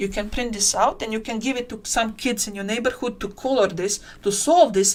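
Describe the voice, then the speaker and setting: A woman's voice with fairly even intonation and a non-native accent. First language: not English. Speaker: tutorial creator. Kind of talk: live-stream tutorial. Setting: live stream. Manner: halting.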